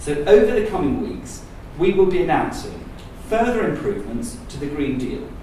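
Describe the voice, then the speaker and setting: This man talks at a moderate pace in a high pitch with lively intonation and big swings in loudness, over noticeable background noise. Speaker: government minister. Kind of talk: conference speech.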